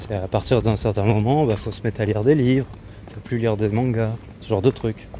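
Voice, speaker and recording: Over noticeable background noise, a man of medium pitch talks at a fairly quick pace with fairly even intonation and big swings in loudness. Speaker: streamer. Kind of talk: casual chat. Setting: outdoors. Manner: hesitant, many filler sounds.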